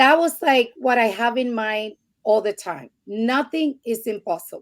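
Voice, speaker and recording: With lively intonation, a woman speaks at a fairly high pitch and a fairly slow pace. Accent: Spanish. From Puerto Rico. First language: Spanish. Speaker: podcast guest. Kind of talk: interview testimony.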